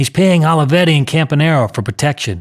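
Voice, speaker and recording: A man does a put-on character voice at a fairly high pitch. He talks at a very fast pace with lively intonation. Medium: read story.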